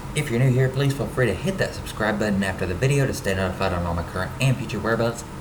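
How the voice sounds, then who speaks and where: A man with an Ozark accent talks at a very fast pace in a medium pitch, his intonation lively, with audible room echo and noticeable background noise. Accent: Ozark Southern US. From US South, Ozarks of northwest Arkansas. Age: 30s. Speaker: travel YouTuber. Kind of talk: casual vlog talk to camera.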